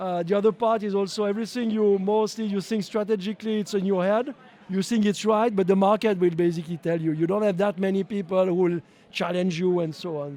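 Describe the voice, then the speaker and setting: Talking very fast in a French accent, a man uses a high pitch, a dark, mellow tone and fairly even intonation. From French-speaking Switzerland. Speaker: company owner and CEO. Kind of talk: interview. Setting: live at a trade show. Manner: halting, many fillers and repetitions.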